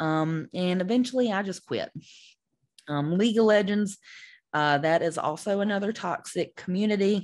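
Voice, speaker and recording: A woman with a Southern US accent at a moderate pace, against a quiet background. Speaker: esports podcast host. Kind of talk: podcast monologue. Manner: many fillers and hesitations.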